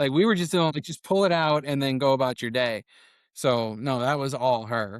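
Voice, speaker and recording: A man with a medium pitch sounds animated, with ordinary pitch variation and a moderate pace. The sound is dry and close, with no echo. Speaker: filmmaker. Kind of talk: casual chat.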